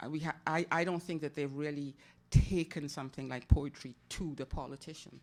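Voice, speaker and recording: Fairly even intonation carries speech delivered at a fairly quick pace. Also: woman, very deep, low pitch for a woman, very clean recording, silent background. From Caribbean. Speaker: poet. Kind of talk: Q&A discussion at a poetry festival.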